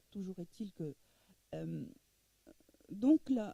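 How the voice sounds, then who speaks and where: Somewhat breathy and dark, mellow in tone, a woman talks at a very slow pace in a dry, close sound with no echo. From Egypt, moved to France. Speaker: publisher. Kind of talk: masterclass interview talk. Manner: halting, many repetitions.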